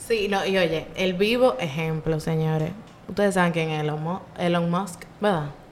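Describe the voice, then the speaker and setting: Fairly low in pitch, a woman speaks at a fairly slow pace. Room echo is audible, and background noise is noticeable. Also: ordinary pitch variation. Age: 20s. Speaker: podcast co-host, university student. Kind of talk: casual chat.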